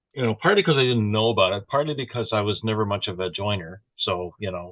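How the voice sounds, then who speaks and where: Talking very fast, a man with a fairly low voice uses ordinary pitch variation. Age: 60s. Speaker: podcast co-host. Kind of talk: casual chat.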